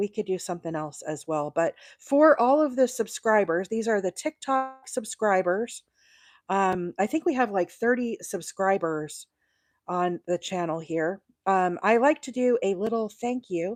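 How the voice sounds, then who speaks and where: A woman speaks fairly slowly in a normal speaking voice with lively intonation. The recording is very clean, with a silent background. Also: medium pitch for a woman. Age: 40s. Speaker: crochet content creator. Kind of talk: live stream tutorial chat. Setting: livestream. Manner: casual, chatty with many fillers.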